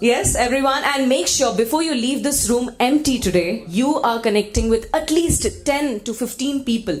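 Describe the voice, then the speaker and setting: A loud, high-pitched woman's voice at a moderate pace, with lively intonation, hardly any pauses, audible room echo and noticeable background noise. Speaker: event emcee. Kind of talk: live event hosting, crowd engagement. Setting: conference hall with audience, PA. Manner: energetic, animated.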